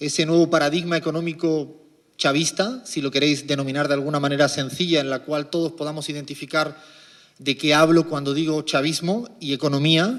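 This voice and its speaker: A man with a fairly high voice speaks at a moderate pace. His intonation is fairly even. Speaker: economist. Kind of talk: lecture.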